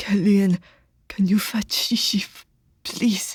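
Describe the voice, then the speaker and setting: A female-sounding voice whispers in a put-on character voice at a fairly slow pace. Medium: read story.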